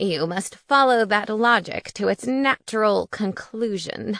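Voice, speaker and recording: A woman's put-on character voice at medium pitch, ordinary pitch variation, dry and close with no echo. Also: fairly slow pace. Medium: read story. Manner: formal, blunt.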